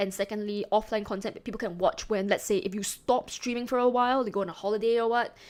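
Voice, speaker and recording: Recorded very cleanly against a silent background, a woman talks at a very fast pace. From Singapore. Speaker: streamer. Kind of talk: casual chat. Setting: live stream. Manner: chatty, repeats words often.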